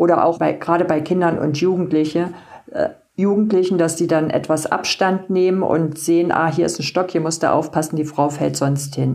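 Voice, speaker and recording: Over noticeable background noise, a woman speaks at a moderate pace with fairly low pitch, very even loudness and fairly even intonation. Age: 60s. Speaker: patient with multiple sclerosis, blogger. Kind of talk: casual interview.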